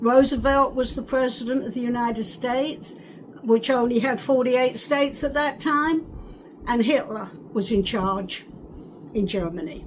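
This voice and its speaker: Noticeable background noise accompanies a woman's high-pitched speech. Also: ordinary pitch variation, moderate pace. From England, North London. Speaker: wartime childhood eyewitness. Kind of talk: oral history interview. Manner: halting.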